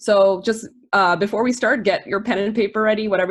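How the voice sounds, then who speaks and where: Speaking at a very fast pace, a woman delivers her words. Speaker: e-commerce marketing producer and entrepreneur. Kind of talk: webinar presentation.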